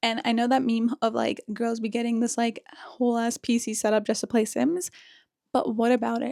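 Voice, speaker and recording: With a dark, mellow tone and fairly high pitch, a woman keeps a fairly even intonation in a dry, close sound with no echo. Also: moderate pace. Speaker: lifestyle vlogger. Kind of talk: casual vlog narration. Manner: casual, chatty.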